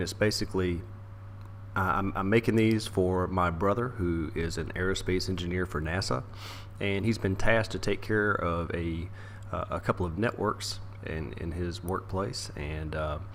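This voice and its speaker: Vocal fry marks this man's very deep, low voice. He speaks at a moderate pace. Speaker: network engineer. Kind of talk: informal screen-recorded tutorial. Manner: hesitant, many fillers.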